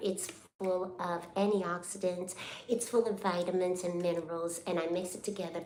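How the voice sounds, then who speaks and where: A woman's medium-pitched voice with fairly even intonation at a moderate pace, amid noticeable background noise and audible room echo. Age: 60s. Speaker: hair braider and braiding school owner. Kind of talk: casual live stream chat. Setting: live stream while braiding hair.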